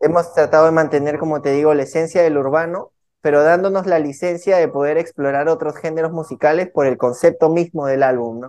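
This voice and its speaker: This man has an ordinary speaking voice with a fairly high pitch and fairly even intonation, moving at a fairly quick pace with hardly any pauses. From Peruvian Amazon, San Martín (Lamas). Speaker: urban music artist. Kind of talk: interview.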